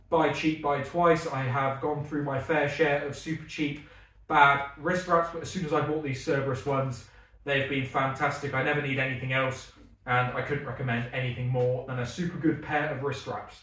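In audible room echo, a man speaks at a moderate pace with fairly even intonation. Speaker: strongman athlete vlogger. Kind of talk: gear review vlog chat. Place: gym.

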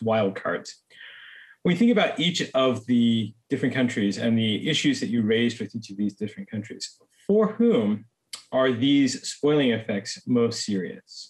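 A man talks fairly slowly, his pitch varying in an ordinary way, with quiet all around him. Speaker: panel moderator and professor; panel moderator, professor. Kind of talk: moderated panel discussion. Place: home room. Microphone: video call.

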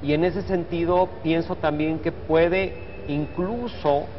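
Over light background noise, a man with a high pitch speaks at a very slow pace with fairly even intonation. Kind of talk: interview answer. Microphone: lapel.

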